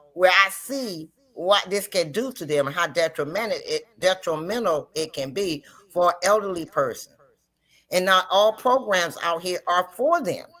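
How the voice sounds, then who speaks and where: With a plain, everyday voice, a woman talks at a medium pitch and ordinary pitch variation. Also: moderate pace. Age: 60s. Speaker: livestream host. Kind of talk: casual chat.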